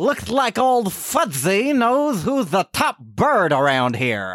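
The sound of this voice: A man performs a cartoonish character voice at a high pitch with a fairly bright tone. He speaks at a slow pace with big pitch swings.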